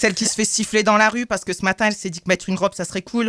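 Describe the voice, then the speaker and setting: A woman talks at a very fast pace with a medium pitch and fairly even intonation, and the sound is dry and close with no echo. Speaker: radio columnist. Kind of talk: reading aloud. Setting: studio.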